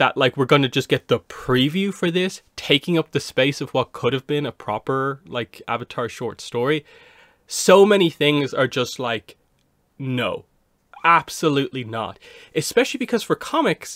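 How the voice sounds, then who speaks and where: With lively intonation and a moderate pace, a man speaks in a dry sound with no echo over a quiet background. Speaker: comic reviewer. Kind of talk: casual commentary. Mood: mildly exasperated. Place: home room. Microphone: studio mic.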